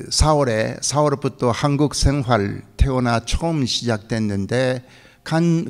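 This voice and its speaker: Speaking at a very slow pace, a man with a fairly high pitch uses lively intonation in a very clean recording with a silent background. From Japan (Korean community in Japan). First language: Japanese (speaking Korean). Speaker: pastor. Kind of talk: sermon. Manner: halting, many fillers.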